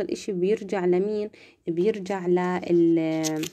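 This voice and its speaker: A soft-spoken woman with a dark, mellow tone, ordinary pitch variation and a very slow pace. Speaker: nursing student tutor. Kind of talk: lecture. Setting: live stream. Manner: casual. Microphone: phone near.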